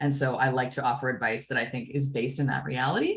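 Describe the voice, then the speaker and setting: A woman with a very deep, low pitch talks at a fairly quick pace. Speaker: fundraising consultant. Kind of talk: workshop presentation. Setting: video call webinar. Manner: fast.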